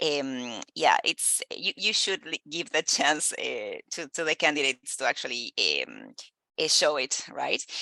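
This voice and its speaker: At a fairly slow pace, a woman with a Spanish accent speaks in a dry, close recording with no echo, her loudness shifting in big swings. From Argentina. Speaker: recruiter. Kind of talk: casual chat. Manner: halting, many fillers.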